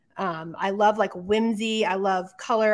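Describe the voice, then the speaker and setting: A woman with an American accent speaks at a medium pitch and fairly even intonation in an ordinary speaking voice. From New Mexico, US Southwest. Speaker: podcast co-host and artist. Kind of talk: casual chat.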